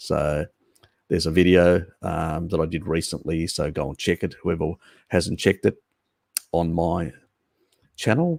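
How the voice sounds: Putting on a character voice, a man speaks at a moderate pace with a very deep, low pitch, a raspy, croaky sound and fairly even intonation.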